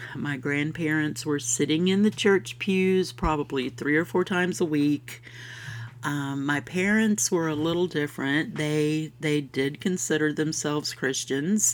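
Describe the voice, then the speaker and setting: A woman with a Southern US accent, a very deep, low pitch, ordinary pitch variation, a warm, upbeat tone and a fairly slow pace. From US South, Florida. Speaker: podcast host. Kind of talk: scripted-style podcast intro, casual monologue. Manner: warm, friendly, upbeat.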